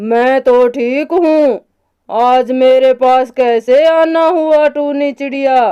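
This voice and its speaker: This is a cartoonish character voice, high in pitch and female-sounding. It moves at a very slow pace. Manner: brusque, dismissive.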